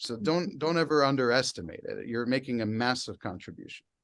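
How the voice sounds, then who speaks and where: In a very clean recording with a silent background, a man with an ordinary speaking voice talks at a fairly quick pace, with medium pitch and lively intonation. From United States. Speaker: heavy metal singer. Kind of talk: interview answer.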